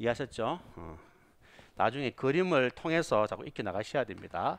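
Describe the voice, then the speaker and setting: Against a quiet background, a man with vocal fry talks in a medium pitch, his voice making very wide pitch swings. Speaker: police exam lecturer. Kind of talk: lecture. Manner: not fast, measured pace.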